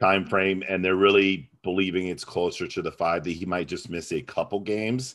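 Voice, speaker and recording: Over a quiet background, a man with a very deep, low pitch speaks at a moderate pace. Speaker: podcast co-host. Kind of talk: casual banter. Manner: joking.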